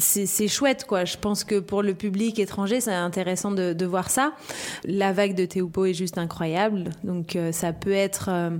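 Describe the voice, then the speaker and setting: A woman at a medium pitch, with fairly even intonation and a fairly slow pace, amid noticeable background noise. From La Réunion. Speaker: professional surfer. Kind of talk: interview.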